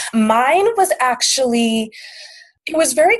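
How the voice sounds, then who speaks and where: Somewhat breathy and with lively intonation, the speaker has an American accent, recorded in a dry, close sound with no echo. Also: woman. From Maine, US. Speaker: writer and sobriety advocate. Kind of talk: casual interview.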